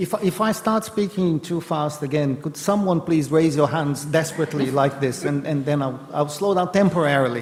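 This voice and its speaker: Noticeable background noise sits behind a man with a fairly high voice who speaks with hardly any pauses. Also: ordinary pitch variation. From Brazil. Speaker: professor of political economy. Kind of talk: panel discussion. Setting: event with audience and interpreters. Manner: fast.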